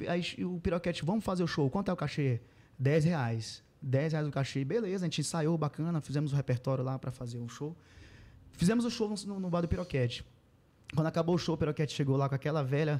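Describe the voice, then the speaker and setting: At a very fast pace, a man speaks in a dark, mellow tone with fairly high pitch and ordinary pitch variation, captured in a very clean recording with a silent background. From Pará, Brazil (Mãe do Rio). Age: 30s. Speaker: sertanejo singer. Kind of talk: casual interview.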